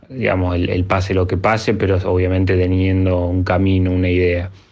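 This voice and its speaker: Through audible room echo and noticeable background noise, a man with a very deep, low voice talks at a moderate pace. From Argentina, Bariloche. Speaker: electronic music producer and DJ. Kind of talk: interview. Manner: halting.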